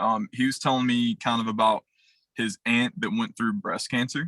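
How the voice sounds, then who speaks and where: Medium-pitched male voice with a bright, sharp tone and lively intonation, dry and close with no echo. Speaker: insurance sales trainer. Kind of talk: sales pitch role-play. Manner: fast.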